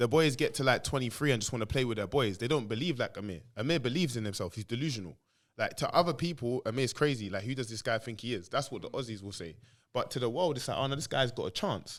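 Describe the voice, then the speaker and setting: A man's medium-pitched voice with a London accent, lively intonation and a very fast pace, on a very clean recording over a silent background. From England. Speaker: former footballer. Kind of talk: casual chat. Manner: loud; animated.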